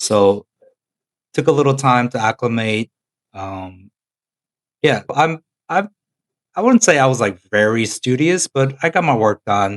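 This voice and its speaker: A man's medium-pitched voice with an American accent, lively intonation, a fairly slow pace and long, frequent pauses, in a dry, close sound with no echo. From Korea until age 10, then the US. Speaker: podcast co-host. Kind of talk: casual chat.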